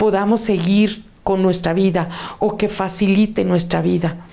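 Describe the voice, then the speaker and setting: The pace is very slow, with ordinary pitch variation. Room echo is audible. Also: woman. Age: 60s. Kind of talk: testimony.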